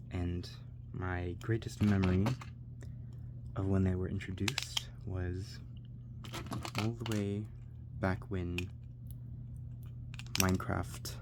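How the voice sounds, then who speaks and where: At a very slow pace with long, frequent pauses, the voice is calm and soothing over noticeable background noise. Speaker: ASMR content creator. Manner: calm, soothing, rambling.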